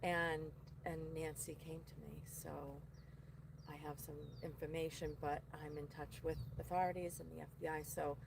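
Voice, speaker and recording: A woman speaks in a strong Boston accent with long, frequent pauses and big swings in loudness. Audible room echo surrounds her voice. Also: moderate pace. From Boston area, Massachusetts. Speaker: psychic medium. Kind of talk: casual chat.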